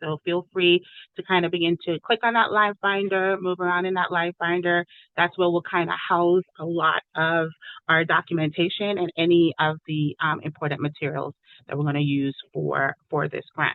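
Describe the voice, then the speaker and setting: At a moderate pace, a woman with a fairly low pitch and fairly even intonation talks in an unremarkable speaking voice. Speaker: education program facilitator. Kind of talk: online meeting presentation.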